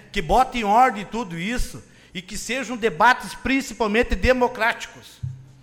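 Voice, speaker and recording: A man speaks at an extremely high pitch, his loudness swinging widely. Noticeable background noise runs behind him. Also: ordinary pitch variation, moderate pace. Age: 30s. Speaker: city councillor and secretary. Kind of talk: political speech in council; reading official documents aloud.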